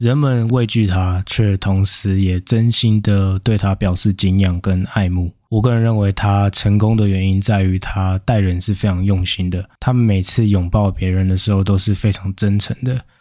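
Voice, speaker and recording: Fairly low-pitched male voice, dark and mellow, flat and monotone, at a moderate pace with hardly any pauses and very even loudness. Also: very clean recording, silent background. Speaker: podcast host. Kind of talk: casual solo monologue. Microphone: new upgraded recording equipment.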